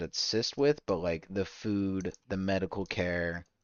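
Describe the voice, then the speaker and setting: A man talks at a very slow pace. His voice is very deep and low, with ordinary pitch variation. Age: 30s. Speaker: live streamer. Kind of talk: casual live-stream chat.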